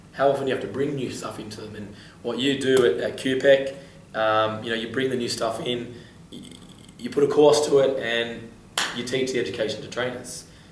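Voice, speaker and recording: Talking at a fairly quick pace, a man uses a medium pitch and fairly even intonation. His loudness swings widely, and the room echoes audibly. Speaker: fitness podcast host. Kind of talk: interview.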